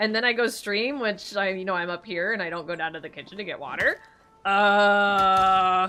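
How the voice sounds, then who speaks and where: With music in the background, a woman talks at a moderate pace, her medium pitch showing ordinary variation. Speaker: streamer. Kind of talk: casual live stream gameplay chat.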